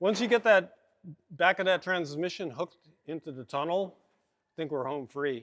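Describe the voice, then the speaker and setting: This man has an American accent and a high pitch with ordinary pitch variation, speaking at a moderate pace. His loudness swings widely, and the sound is dry and close with no echo. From Oklahoma. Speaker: car builder and show host. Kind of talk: casual chat while working in a shop.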